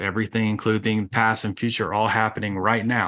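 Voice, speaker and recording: Against a quiet background, a man speaks at a moderate pace in a bright, sharp, enthusiastic tone. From US South. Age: 40s. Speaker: podcast host. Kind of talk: casual talk-style lecture. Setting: video stream, screen sharing.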